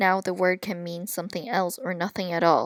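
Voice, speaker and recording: A woman speaks at a moderate pace and medium pitch, with a dry, close sound with no echo on a very clean recording with a silent background. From Japan, China and Canada (moved to Canada at eight). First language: not English (English is third language). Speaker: university education student. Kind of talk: class presentation, scripted narration. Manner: reading from a script.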